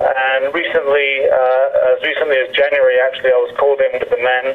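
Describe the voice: A man speaks at a fairly quick pace with little pitch movement. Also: medium pitch for a man.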